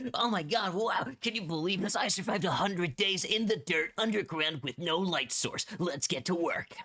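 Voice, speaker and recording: A man puts on a character voice, pitched high, with an excited tone and ordinary pitch variation. He keeps a moderate pace. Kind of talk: clickbait YouTube. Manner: over-excited, exaggerated.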